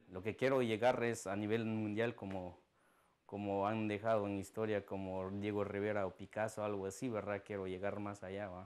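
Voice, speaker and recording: Very cleanly recorded against a silent background, a man speaks in a fairly low pitch with monotone, flat intonation. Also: moderate pace. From Guatemala. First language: Mam (Mayan language) (speaking Spanish). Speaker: artist. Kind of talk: interview soundbite. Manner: halting.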